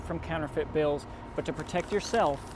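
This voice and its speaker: A man speaking over noticeable background noise. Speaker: TV news reporter. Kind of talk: live TV news stand-up.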